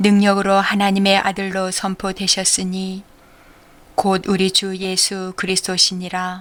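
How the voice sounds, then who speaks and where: Here a woman speaks at a fairly slow pace with medium pitch. Her intonation is monotone and flat. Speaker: church deacon, Bible reader. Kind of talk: audio Bible reading.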